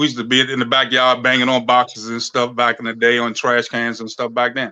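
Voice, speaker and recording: A man's bright, sharp voice with an American accent, at a fairly quick pace. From Washington DC (Southeast, Anacostia). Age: 60s. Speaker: saxophonist. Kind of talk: casual interview chat. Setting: live stream interview. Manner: halting, many fillers.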